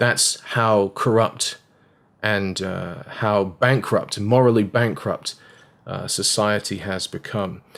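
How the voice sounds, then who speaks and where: Speaking very slowly, a man with an English accent has a fairly low pitch. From England. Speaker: evangelist. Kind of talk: video commentary. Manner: animated.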